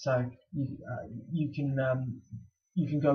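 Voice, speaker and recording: A man speaks with an English accent in a dark, mellow tone. His voice is somewhat breathy, with fairly even intonation. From England, Bristol. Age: 20s. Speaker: student athlete vlogger. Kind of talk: casual vlog Q&A. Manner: halting, many fillers and repeats.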